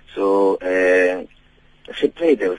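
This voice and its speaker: A man speaks with a South African accent. The sound is dry and close, with no echo. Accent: South African English, Xhosa-accented. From Eastern Cape, South Africa. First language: Xhosa. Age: 30s. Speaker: gospel singer. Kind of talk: radio interview. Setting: phone call.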